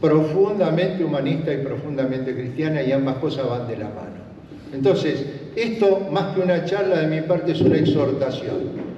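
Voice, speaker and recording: A man's fairly high voice at a moderate pace, with ordinary pitch variation, audible room echo and noticeable background noise. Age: 70s. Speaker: political trainer and trade union veteran. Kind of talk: lecture.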